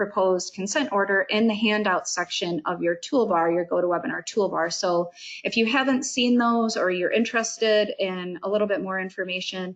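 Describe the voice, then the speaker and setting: Woman's unremarkable speaking voice at medium pitch, fairly quick, with ordinary pitch variation. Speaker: government agency meeting moderator. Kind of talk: public information webinar presentation. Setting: online webinar.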